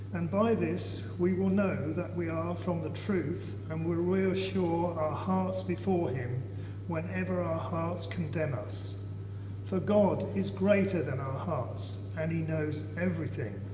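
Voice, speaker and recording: The speaking pace is very slow, and the voice is a man's. Behind him is noticeable background noise. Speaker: lay scripture reader in church. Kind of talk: reading scripture aloud. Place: church. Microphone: camera far.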